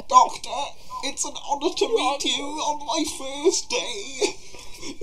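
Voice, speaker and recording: A high-pitched, put-on character voice at a very slow pace over noticeable background noise. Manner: anxious.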